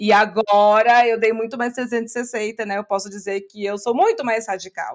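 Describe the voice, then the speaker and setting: A woman talks at a moderate pace in a fairly high pitch with a plain, everyday voice. Her intonation is fairly even, and the recording is very clean with a silent background. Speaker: English teacher and podcaster. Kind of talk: interview.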